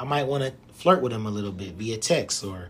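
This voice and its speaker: A man speaks at a medium pitch with ordinary pitch variation. Noticeable background noise runs underneath. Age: 30s. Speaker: podcast host. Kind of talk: solo podcast monologue. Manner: casual, with frequent fillers.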